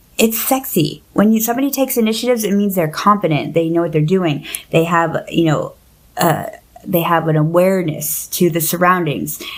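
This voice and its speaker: A woman talks at a fairly quick pace in a fairly low pitch, with lively intonation and an animated tone. Her loudness stays very even despite noticeable background noise. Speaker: podcast host. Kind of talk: casual chat. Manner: fast.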